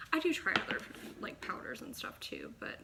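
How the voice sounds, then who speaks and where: A woman speaks at a fairly quick pace. Noticeable background noise and audible room echo surround her voice. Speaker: beauty vlogger. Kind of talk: makeup tutorial. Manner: casual, chatty.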